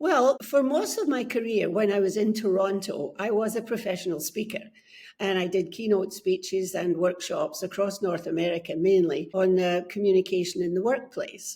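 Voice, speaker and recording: A woman speaks with a Scottish accent at a moderate pace. Her medium-pitched voice has a dark, mellow tone. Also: ordinary pitch variation. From Scotland. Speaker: book coach. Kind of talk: podcast interview.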